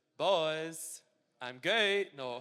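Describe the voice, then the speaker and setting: A bright, sharp tone carries this voice with a Glaswegian accent. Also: man. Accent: Glaswegian, toned down. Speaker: footballer. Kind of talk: interview on stage. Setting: stage with audience.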